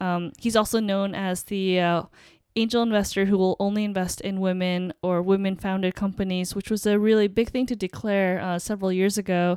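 Speaking at a moderate pace in a plain, everyday voice, a woman has a medium pitch and an American accent. Her intonation is fairly even, and the recording is very clean with a silent background. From upstate New York. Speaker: podcast co-host. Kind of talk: casual chat.

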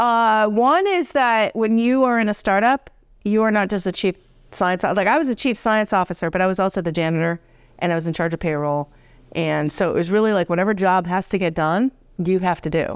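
On a very clean recording with a silent background, a woman with a normal speaking voice and an American accent talks fairly quickly at medium pitch, with ordinary pitch variation and very even loudness. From Rhode Island, US. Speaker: college president. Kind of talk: casual interview chat.

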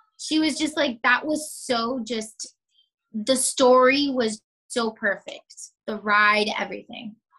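With an American accent, a woman speaks very slowly in a high, bright, sharp voice with ordinary pitch variation. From South Florida. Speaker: surgical tech and small business owner. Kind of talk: casual interview chat. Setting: video call. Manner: animated.

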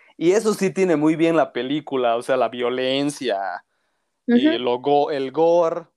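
An ordinary speaking voice from a man, fairly high in pitch with lively intonation, in a dry, close sound with no echo and a very clean recording with a silent background. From Bolivia. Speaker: film content creator. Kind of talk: casual chat.

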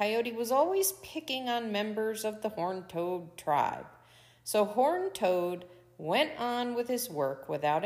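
Here the reading voice is unforced.

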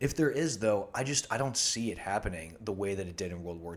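A man with a normal speaking voice and fairly low pitch talks at a fairly quick pace in a very clean recording with a silent background. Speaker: medical student and travel videographer. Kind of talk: casual chat.

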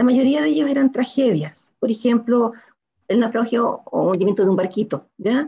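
Lively intonation and vocal fry mark a woman's fairly high-pitched voice. Her tone is dark and mellow, and her pace is moderate. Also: very even loudness. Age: 60s. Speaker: writer. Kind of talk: interview.

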